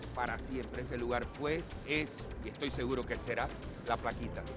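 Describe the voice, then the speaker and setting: Music plays in the background as a man speaks at a moderate pace with very even loudness. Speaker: historian, interviewee. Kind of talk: interview answer, explanatory.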